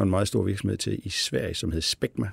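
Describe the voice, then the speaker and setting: A man with a very deep, low pitch and a dark, mellow tone speaks with vocal fry, the sound dry and close with no echo in a very clean recording with a silent background. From Denmark, Billund (Jutland). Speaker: company CEO. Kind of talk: interview. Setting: studio. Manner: halting, many fillers.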